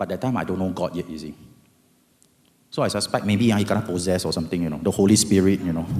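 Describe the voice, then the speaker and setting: A man's fairly low voice in a Singaporean accent, at a fairly quick pace. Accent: Singaporean English (Singlish). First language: Hokkien. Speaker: lawyer. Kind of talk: testimony. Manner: animated.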